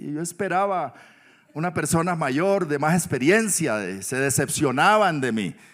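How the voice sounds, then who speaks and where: Using a plain, everyday voice, a man talks at a fairly slow pace with lively intonation. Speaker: pastor. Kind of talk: sermon.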